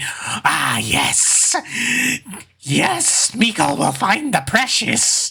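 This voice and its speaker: Putting on a character voice, a man speaks at a very slow pace with a high pitch and very wide pitch swings. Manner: creepy, whispering.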